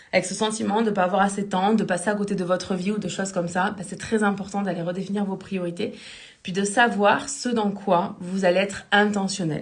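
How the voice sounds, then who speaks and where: In a room with audible echo, a woman talks at a medium pitch with a somewhat breathy voice. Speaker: life coach. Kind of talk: live stream talk. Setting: live stream. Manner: fast.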